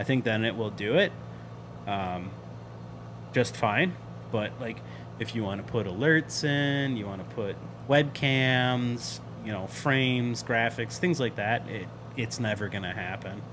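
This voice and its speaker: Speaking at a fairly slow pace with long, frequent pauses, a man is heard with audible room echo. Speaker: flight sim streamer. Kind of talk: live stream chat. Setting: live stream. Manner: casual, filler-heavy; loud.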